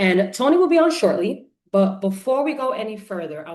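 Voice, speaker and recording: A woman's animated, lively voice with a New York accent at a moderate pace. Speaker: event host. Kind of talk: live launch event hosting. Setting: livestream.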